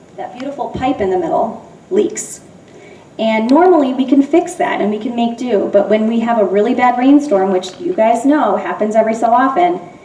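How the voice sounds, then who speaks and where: Someone with an American accent speaks at a moderate pace with lively intonation, with noticeable background noise and audible room echo. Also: woman, fairly high pitch for a woman. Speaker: middle school teacher. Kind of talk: public presentation. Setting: school building open house, audience present. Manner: loud.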